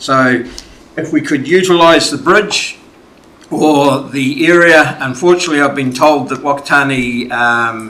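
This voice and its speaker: A man with a New Zealand accent speaks at a fairly slow pace in a fairly high pitch. His pitch varies in an ordinary way, and the room echo is audible. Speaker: community submitter at council hearing. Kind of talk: public submission. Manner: loud.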